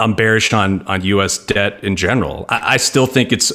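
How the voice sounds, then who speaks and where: A man with an ordinary speaking voice and an American accent talks at medium pitch with fairly even intonation. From New York. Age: 30s. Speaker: real estate investment firm founder. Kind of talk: interview.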